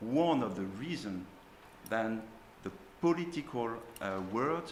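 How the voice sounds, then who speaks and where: Speaking with a French accent, a man uses lively intonation at a medium pitch, with audible room echo around him. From France. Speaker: school teacher on a panel. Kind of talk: panel discussion. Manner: hesitant, many fillers.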